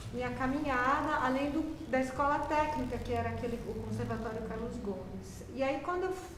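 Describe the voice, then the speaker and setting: A woman at a moderate pace, amid noticeable background noise and audible room echo. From Brazil, São Paulo state (Campinas). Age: 60s. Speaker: music professor and flutist. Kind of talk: interview.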